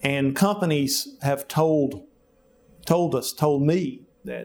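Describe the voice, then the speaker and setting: Fairly even intonation marks the speech of a man with a Southern US accent. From US South, rural Alabama. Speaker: physician. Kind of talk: interview. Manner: halting, with many fillers.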